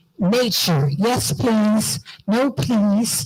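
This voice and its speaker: A somewhat breathy woman with an American accent. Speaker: diaspora organization leader. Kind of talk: conference speech. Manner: animated.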